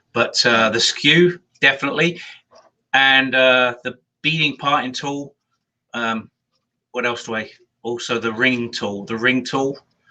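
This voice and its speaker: Speaking at a fairly slow pace with long, frequent pauses, a man uses a medium pitch and fairly even intonation in a bright, sharp tone. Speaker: woodturner, co-host. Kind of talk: casual chat.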